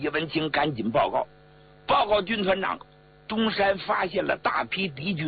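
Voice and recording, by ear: Someone is reading aloud in a natural voice with ordinary pitch variation.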